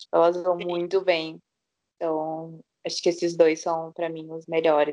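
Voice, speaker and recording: A woman speaks fairly slowly in a dark, mellow tone, her fairly low pitch flat and monotone while her loudness swings widely. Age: 20s. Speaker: podcast co-host. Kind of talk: casual chat.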